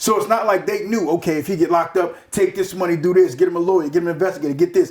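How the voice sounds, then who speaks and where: Loud and passionate, a man speaks at a very fast pace in a high voice. His pitch varies in an ordinary way. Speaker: former bank robber interviewee. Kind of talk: casual interview. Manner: forceful, passionate delivery.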